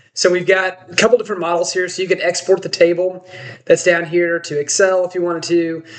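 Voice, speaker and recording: At a very fast pace, a man speaks at a high pitch with monotone, flat intonation. Noticeable background noise runs behind him. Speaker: sports betting site founder. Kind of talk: tutorial. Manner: casual, with many fillers.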